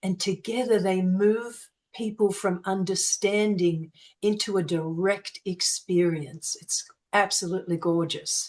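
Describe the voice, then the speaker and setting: A woman with an Australian accent, ordinary pitch variation and a fairly slow pace. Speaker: sound healing practitioner. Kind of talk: interview answer.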